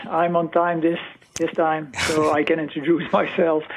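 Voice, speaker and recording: A man's voice against noticeable background noise. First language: Dutch (Limburgish). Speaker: regional support consultant. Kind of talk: presentation. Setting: live stream.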